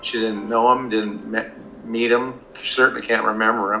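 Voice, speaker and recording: With a bright, sharp tone and a medium pitch, a man speaks in a flat monotone while room echo can be heard. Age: 60s. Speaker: alienated father, former police officer. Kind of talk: interview testimony. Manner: halting.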